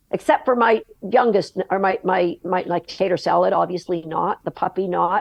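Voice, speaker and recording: Using vocal fry, a woman speaks in a medium pitch with ordinary pitch variation. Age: 60s. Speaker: agility dog trainer. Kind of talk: podcast interview conversation.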